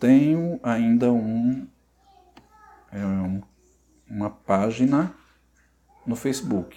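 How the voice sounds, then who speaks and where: With ordinary pitch variation, the man's voice sits at a medium pitch. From Ceará, Brazil (rural interior). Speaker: cytologist and professor. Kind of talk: podcast interview.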